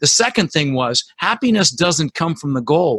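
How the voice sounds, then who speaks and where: Animated in tone, a man with an American accent talks at a fairly quick pace in a fairly high voice. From Netherlands, moved to US at six. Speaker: real estate investor and podcast host. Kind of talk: interview.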